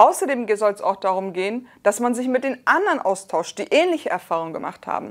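Against a quiet background, a woman talks in an animated tone at a fairly quick pace, with hardly any pauses and very wide pitch swings. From Germany. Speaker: scientist and rapper. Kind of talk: reading and reacting to social media replies; commentary reading tweets and explaining. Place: studio. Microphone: lapel.

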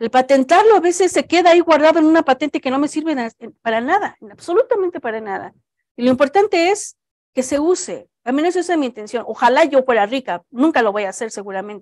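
A woman with a high pitch talks at a fairly quick pace. Her pitch swings very widely over a quiet background. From Mexico. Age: 40s. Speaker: cancer researcher. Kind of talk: Q&A answers; lecture. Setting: auditorium with live audience. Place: hall.

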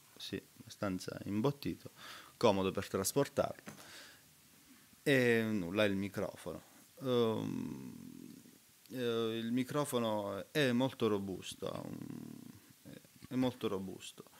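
Speaking at a very slow pace, a man leaves long, frequent pauses and uses ordinary pitch variation. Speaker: recording studio engineer; gear reviewer. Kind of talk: product review tutorial. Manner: hesitant, many fillers. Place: home room. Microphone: webcam.

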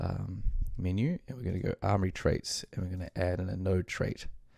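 A man with a New Zealand accent and a very deep, low pitch, at a moderate pace with ordinary pitch variation, in a very clean recording over a silent background. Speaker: game development tutorial creator. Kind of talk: tutorial. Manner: casual with frequent fillers.

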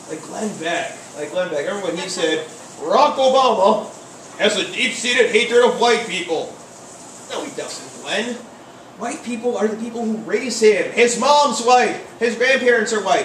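A man at an extremely high pitch, moderate pace and ordinary pitch variation, with big swings in loudness, audible room echo and light background noise. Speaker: open mic comedian. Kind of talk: stand-up comedy routine. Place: cafe.

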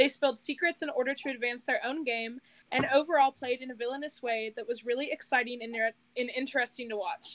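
A woman talks very fast in a high pitch with ordinary pitch variation. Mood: playful, laughing. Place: home room. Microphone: video call.

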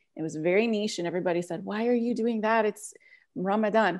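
A woman talking at a fairly quick pace with lively intonation over a quiet background. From US, Italian and Puerto Rican family. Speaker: food business owner. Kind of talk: panel discussion. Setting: video call. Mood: warm, animated storytelling. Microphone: earbuds.

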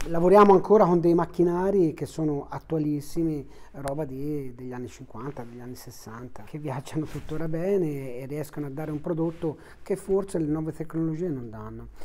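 Speaking at a moderate pace, a man with a fairly high pitch shows ordinary pitch variation and big swings in loudness. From Tuscany, Italy. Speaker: family business owner, baker. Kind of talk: interview monologue. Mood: relaxed, friendly. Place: home room.

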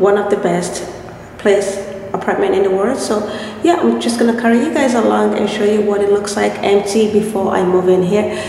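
Amid audible room echo and light background noise, a woman talks at a fairly quick pace with very even loudness and ordinary pitch variation. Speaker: vlogger. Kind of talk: casual vlog chat. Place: empty room. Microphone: phone near.

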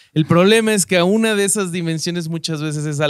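A man speaks with a Mexican accent. The recording is very clean with a silent background, dry and close with no echo. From Mexico. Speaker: podcast host and stand-up comedian. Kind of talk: casual chat.

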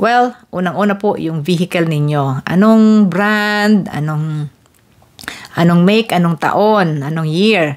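A woman at a fairly low pitch and a very slow pace, against a quiet background. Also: ordinary pitch variation. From Philippines. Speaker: vlogger; vlogger explaining car insurance. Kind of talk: tutorial. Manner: casual, conversational. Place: home room. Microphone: handheld.

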